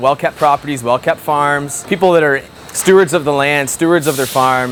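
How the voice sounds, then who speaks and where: Over music in the background, a man with an Ontario accent speaks at a moderate pace in a fairly high pitch with fairly even intonation. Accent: rural Ontario Canadian. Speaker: farmer. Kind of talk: interview.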